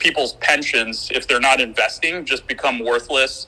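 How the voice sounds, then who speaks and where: Against noticeable background noise, the moderate-paced speech comes in an American accent. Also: man. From United States. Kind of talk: casual panel discussion.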